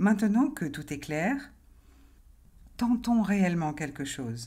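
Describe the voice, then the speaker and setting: In a calm, soothing and dark, mellow tone, a woman speaks somewhat breathily at a very slow pace with lively intonation. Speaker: hypnotherapist and life coach. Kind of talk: guided relaxation hypnosis induction. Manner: slow, calm, soothing.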